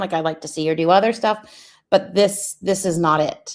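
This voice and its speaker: On a very clean recording with a silent background, the speaker moves at a moderate pace with fairly even intonation. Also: woman. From Canada. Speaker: streamer reacting to another stream. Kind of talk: casual reaction commentary.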